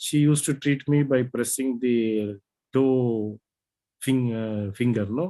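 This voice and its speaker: At a very slow pace, a man with a medium pitch and a dark, mellow tone speaks with fairly even intonation. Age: 70s. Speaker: student. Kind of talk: casual chat. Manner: halting.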